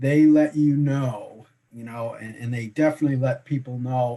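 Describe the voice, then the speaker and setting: The voice is dark and mellow, somewhat breathy, with a slight Boston accent. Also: man. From Boston, Massachusetts. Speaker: insurance broker. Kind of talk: interview. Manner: halting.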